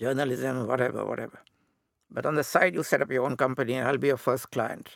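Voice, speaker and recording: A man with vocal fry talks at a medium pitch and a fairly quick pace. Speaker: author and former magazine editor. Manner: halting, hesitant.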